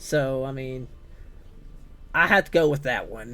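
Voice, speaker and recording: The speaker has a Southern US accent and talks at a very slow pace. Music plays in the background. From US South, Tennessee. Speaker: gaming streamer. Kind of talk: casual live-stream chat. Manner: casual, filler-heavy.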